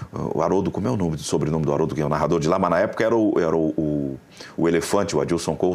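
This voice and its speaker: Very fast pace from a man, very deep and low in pitch, with ordinary pitch variation. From Rio Grande do Sul, southern Brazil. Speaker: football commentator. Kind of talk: casual chat. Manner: halting.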